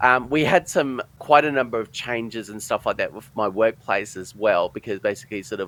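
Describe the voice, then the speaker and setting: A man with an Australian accent, fairly quick in pace, his pitch varying in an ordinary way, the sound dry and close with no echo. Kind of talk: interview, personal testimony. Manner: halting, broken speech with many fillers.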